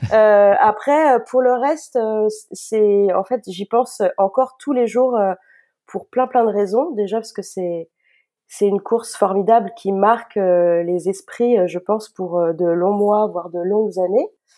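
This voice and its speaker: A woman speaks very slowly, her pitch varying in an ordinary way. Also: medium pitch for a woman. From western France, Nantes area. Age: 40s. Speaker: trail runner. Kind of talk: interview.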